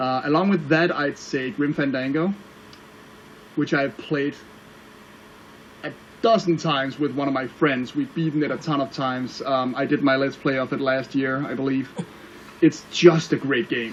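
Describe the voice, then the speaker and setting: With a Danish accent, a man speaks at a fairly high pitch and a moderate pace, his intonation fairly even, broken by long, frequent pauses over noticeable background noise. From Denmark. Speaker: online video reviewer. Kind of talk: casual interview chat.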